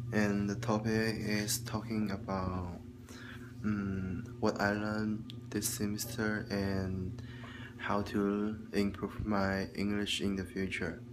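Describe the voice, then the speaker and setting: The speaker has a Chinese accent and talks at a very slow pace in a monotone, flat intonation. Noticeable background noise is present. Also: man, fairly low pitch for a man. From China. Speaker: student vlogger. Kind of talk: video log monologue, class homework. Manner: halting, with many fillers. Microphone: phone near.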